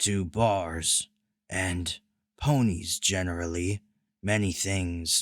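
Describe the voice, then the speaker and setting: A man puts on a booming character voice, speaking at a very slow pace in a very deep, low pitch with long, frequent pauses. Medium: read story. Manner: flat, formal, literal, no contractions.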